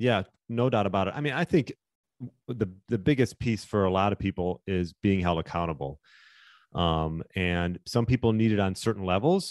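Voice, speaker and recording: Against a quiet background, an unremarkable speaking voice moves at a moderate pace with ordinary pitch variation. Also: man, fairly low pitch for a man. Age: 40s. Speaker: fitness coach. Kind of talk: casual interview chat.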